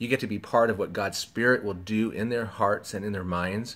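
A man speaks at a fairly low pitch. His pitch variation is ordinary. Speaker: pastor. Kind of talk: training talk to volunteers. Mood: warm, encouraging. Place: home room. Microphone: phone near.

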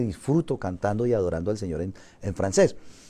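Pitch swinging very widely, a man talks at a fairly quick pace in a dark, mellow tone. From Colombia. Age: 50s. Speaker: missionary pastor. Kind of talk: interview testimony. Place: church. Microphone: lapel.

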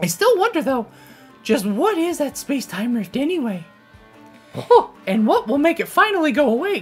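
With faint music in the background, a woman speaks at a moderate pace in a high voice that swings very widely in pitch. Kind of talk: read of game dialogue. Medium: game stream. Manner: upbeat, enthusiastic.

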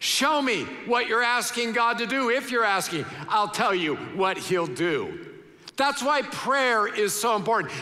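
With a raised, projected voice and lively intonation, a man talks at a fairly slow pace. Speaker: pastor. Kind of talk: sermon. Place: church. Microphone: headset.

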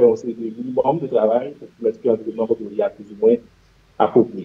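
A man with a Haitian accent, lively intonation and a moderate pace. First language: Haitian Creole (speaking French). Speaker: general practitioner; guest. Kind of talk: interview. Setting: studio. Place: home room. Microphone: video call.

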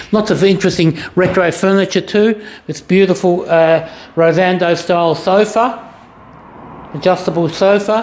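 Delivered at a fairly slow tempo, the speech carries an Australian accent. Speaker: auctioneer giving a walkthrough. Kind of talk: solo video walkthrough of auction lots, informal sales pitch. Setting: walking through auction room, recorded on camera. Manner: brisk, casual, list-like patter with short fragments; halting, with frequent 'uh' fillers while walking. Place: shop. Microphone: phone near.

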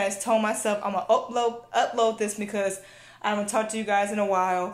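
Room echo is audible as a woman with an American accent speaks. Her pitch is fairly high, and her pace is fairly quick. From Southern California. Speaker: tech YouTuber. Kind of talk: casual unboxing vlog. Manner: animated. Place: home room. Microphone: phone near.

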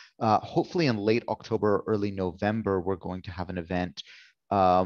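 A man speaks at a fairly quick pace in a normal speaking voice, fairly low in pitch with fairly even intonation. The sound is dry and close with no echo, and the background is quiet. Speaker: event organizer. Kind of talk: event moderation. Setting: video call.

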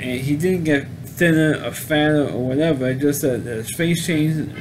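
Fairly high male speech, its pitch varying in an ordinary way

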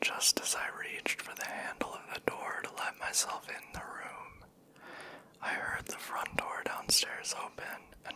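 A man whispering, soft-spoken and fairly slow, over light background noise. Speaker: storyteller. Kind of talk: soft-spoken storytelling reading. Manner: soft close-mic whisper, tense story. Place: home room. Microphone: handheld.

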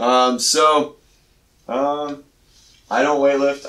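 A man's voice with audible room echo. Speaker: physical therapist; podcast co-host. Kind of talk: casual chat. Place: gym.

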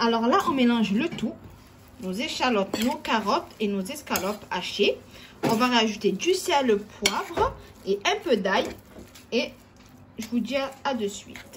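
A woman talks at a very slow pace, with long, frequent pauses. Noticeable background noise runs underneath. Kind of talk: cooking tutorial. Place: kitchen. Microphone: phone near.

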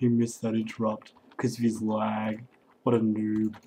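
A put-on character voice sits low in pitch at a moderate pace. The intonation stays monotone and flat. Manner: mocking, smug.

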